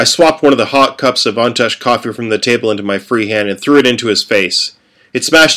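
Here is plain reading aloud. Its pitch variation is ordinary.

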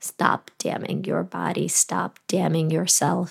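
A woman speaks with very wide pitch swings. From Latvia. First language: Russian. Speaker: podcast host. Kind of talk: personal testimony; guided meditation.

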